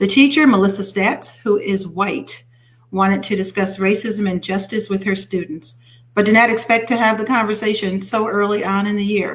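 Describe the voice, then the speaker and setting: At a moderate pace, a woman talks in a medium, somewhat breathy voice with fairly even intonation. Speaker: internet radio host. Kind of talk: reading news stories with comments.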